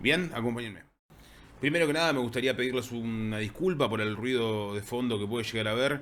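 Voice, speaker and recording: A man speaks at medium pitch with an Argentine accent. Audible room echo surrounds his voice. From Argentina. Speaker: university lecturer and game designer. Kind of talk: conference talk.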